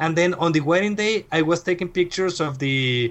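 Using very wide pitch swings, a man with a Mexican accent speaks in a high voice. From northern Mexico, Reynosa. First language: Spanish. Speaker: wedding photographer. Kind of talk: casual interview. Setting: at home. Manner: halting.

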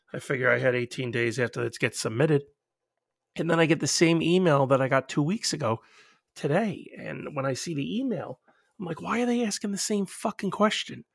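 On a very clean recording with a silent background and a dry, close sound with no echo, a man talks at a fairly quick pace in a fairly high pitch with very wide pitch swings. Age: 30s. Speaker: podcaster. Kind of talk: casual monologue.

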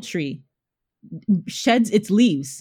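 A woman's fairly high, somewhat breathy voice with very wide pitch swings at a very slow pace, on a very clean recording with a silent background. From Canada, Ontario (Nigerian family). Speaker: interior designer. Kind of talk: casual chat.

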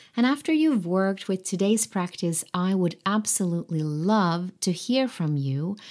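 The speaker has a non-native accent. The recording is very clean, with a silent background. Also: woman, medium pitch for a woman, lively intonation, moderate pace. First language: not English. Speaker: creativity coach and podcaster. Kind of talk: solo podcast teaching practice. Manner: hesitant, repeats words at times.

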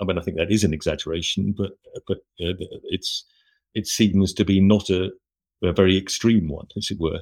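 The delivery is monotone and flat at a fairly quick pace. Long, frequent pauses break it up. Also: man, very deep, low pitch for a man. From London, England. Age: 60s. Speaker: journalist and author. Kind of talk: interview conversation.

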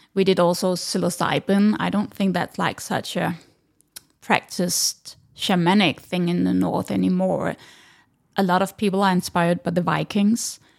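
A woman speaks at a moderate pace with a Danish accent. The recording is very clean, with a silent background. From Denmark. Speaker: breathwork instructor. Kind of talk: interview. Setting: in person, with video.

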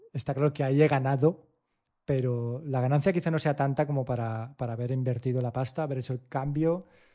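The voice has a dark, mellow tone and fairly even intonation. It moves at a fairly quick pace over a quiet background. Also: man. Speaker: tech podcast co-host. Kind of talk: casual chat.

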